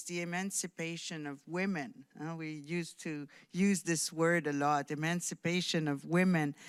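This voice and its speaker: Recorded very cleanly over a silent background, a woman with a fairly low pitch and a slight French Canadian accent speaks at a fairly slow pace. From Quebec, outskirts of Montreal. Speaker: diplomat. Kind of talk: conference speech. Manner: hesitant, many fillers.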